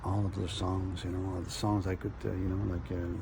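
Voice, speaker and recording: Audible room echo and noticeable background noise around a man talking at a moderate pace. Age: 60s. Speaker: video blogger. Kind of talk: personal storytelling. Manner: halting.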